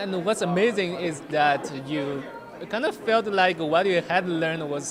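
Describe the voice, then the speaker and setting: Crowd noise fills the background as a man with a Chinese accent talks at a high pitch and a fairly slow pace. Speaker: international student. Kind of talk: interview.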